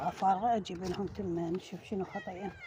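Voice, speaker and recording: A quiet woman with a fairly low pitch speaks at a moderate pace with ordinary pitch variation over noticeable background noise. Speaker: home gardening vlogger. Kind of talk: casual tutorial vlog. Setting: outdoors in the street garden. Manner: quiet, voice kept low.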